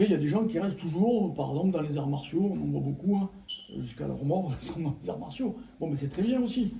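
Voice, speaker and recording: Here is a man with an unremarkable speaking voice. He talks at a fairly quick pace with lively intonation. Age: 60s. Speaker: former martial arts practitioner. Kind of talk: casual chat.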